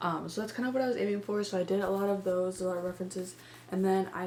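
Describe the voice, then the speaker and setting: Talking at a fairly quick pace, a woman speaks at medium pitch. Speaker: artist vlogger. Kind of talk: casual vlog narration. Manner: fast.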